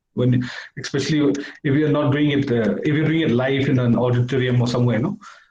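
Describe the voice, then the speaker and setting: Talking at a very fast pace, a man keeps fairly even intonation and very even loudness. Audible room echo surrounds his voice. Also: medium pitch for a man. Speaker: debate judge. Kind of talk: judge's feedback.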